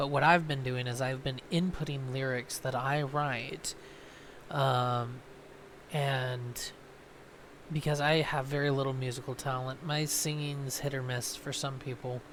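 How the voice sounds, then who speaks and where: Medium-pitched male speech at a fairly slow pace, monotone and flat, with audible room echo. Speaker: gaming YouTuber. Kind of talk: casual chat. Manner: hesitant, many ums.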